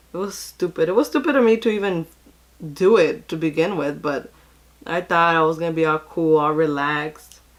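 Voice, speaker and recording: A woman with an unremarkable speaking voice, fairly low in pitch, talks at a fairly quick pace with ordinary pitch variation on a very clean recording with a silent background. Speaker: beauty vlogger. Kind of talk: casual chat.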